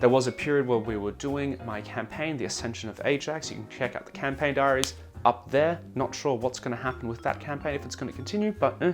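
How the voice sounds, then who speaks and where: Over music in the background, a man with an Australian accent speaks very fast at medium pitch, with lively intonation and hardly any pauses. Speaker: gaming YouTuber. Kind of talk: casual vlog update.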